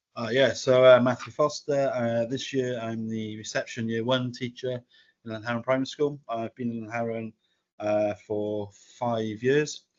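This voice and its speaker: A man speaks in a Welsh accent at medium pitch. His moderate pace comes with monotone, flat intonation. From Wales. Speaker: primary school teacher. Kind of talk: podcast interview. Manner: halting.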